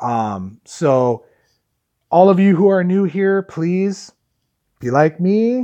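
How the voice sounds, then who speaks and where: In an American accent, a loud man with a high pitch and a dark, mellow tone makes very wide pitch swings over a quiet background. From Chicago area, US Midwest. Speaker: vlogger. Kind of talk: live stream chat with viewers. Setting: live stream from phone. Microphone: phone audio with noise cancelling earbud in.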